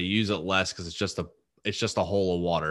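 Speaking fairly quickly against a quiet background, a man with an American accent has a bright, sharp tone, a fairly low pitch and fairly even intonation. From New Jersey. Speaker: luxury pool designer and business owner. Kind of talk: casual interview.

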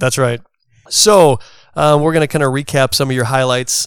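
A man speaks in a plain, everyday voice with ordinary pitch variation at a moderate pace. The recording is very clean, and the background silent. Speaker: podcast host. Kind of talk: casual interview chat.

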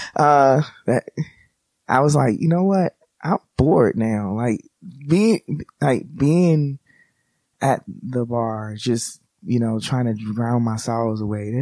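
In a dry, close recording with no echo, a man with an American accent speaks very slowly at a medium pitch, with a dark, mellow tone, lively intonation and long, frequent pauses. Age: 30s. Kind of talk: casual chat.

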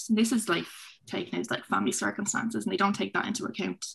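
A woman speaks with vocal fry. The background is quiet. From Dublin, Finglas. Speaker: student senator-elect. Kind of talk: panel discussion. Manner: animated.

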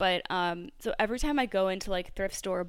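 In a very clean recording with a silent background, a woman speaks with an American accent. She has a normal speaking voice at medium pitch and a moderate pace. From US Northeast (New Jersey). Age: 30s. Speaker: podcast host, yoga teacher. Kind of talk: casual interview chat.

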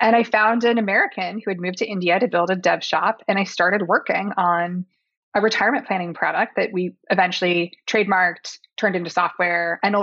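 At a fairly quick pace, a woman speaks in a normal speaking voice with medium pitch and fairly even intonation. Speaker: company founder and CEO. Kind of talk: interview conversation.

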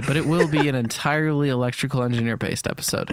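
Over noticeable background noise, a man talks at a very fast pace with fairly even intonation. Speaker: podcast co-host and YouTube creator. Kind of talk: casual chat.

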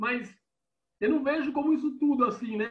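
The man's voice sits at an extremely high pitch. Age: 40s. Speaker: sports journalist. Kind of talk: casual chat.

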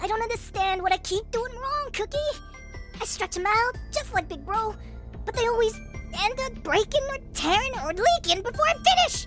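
Over clear music in the background, a put-on character voice moves at a moderate pace. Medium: audio drama. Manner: whiny, frustrated, then introspective.

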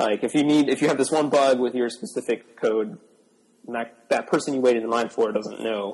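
An unremarkable speaking voice, a man's, at medium pitch with an American accent speaks at a moderate pace with ordinary pitch variation. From Buffalo area, upstate New York. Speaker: software developer. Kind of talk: casual interview chat.

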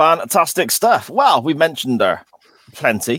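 A man speaks with a West Country accent. He keeps a moderate pace. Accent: West Country, Gloucestershire. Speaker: podcast host. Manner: casual, jokey banter.

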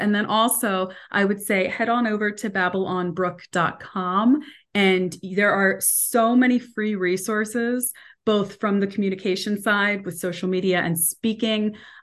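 A woman with an ordinary speaking voice talks at a moderate pace and medium pitch, her intonation fairly even, against a quiet background. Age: 40s. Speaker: motivational speaker and coach. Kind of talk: interview.

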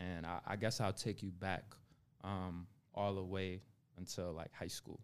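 Moderate speed, an American accent, and a plain, everyday voice. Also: man. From Buffalo, New York. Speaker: entrepreneur and accountant. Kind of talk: casual interview chat.

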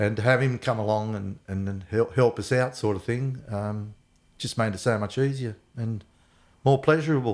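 Heard on a very clean recording with a silent background, a man with an Australian accent speaks at a moderate pace and medium pitch with ordinary pitch variation. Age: 60s. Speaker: athlete's father. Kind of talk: casual chat.

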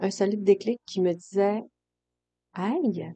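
A woman's dark, mellow voice at a medium pitch with a Saguenay–Lac-Saint-Jean accent, ordinary pitch variation and a very slow pace. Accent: Saguenay-Lac-Saint-Jean Quebec French. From Quebec, Saguenay-Lac-Saint-Jean. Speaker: hairdresser and coach, podcast host. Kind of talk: solo podcast monologue. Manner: casual, with fillers and repetitions.

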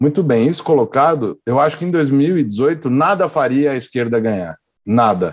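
A man is speaking. The background is quiet. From São Paulo. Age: young. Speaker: works at a TV production company. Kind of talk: casual chat.

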